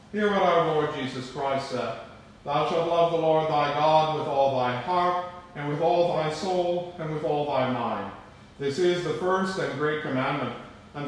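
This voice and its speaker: The speech moves at a fairly slow pace through strong room echo. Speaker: priest. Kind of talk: liturgical prayer and sermon. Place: church. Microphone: camera far.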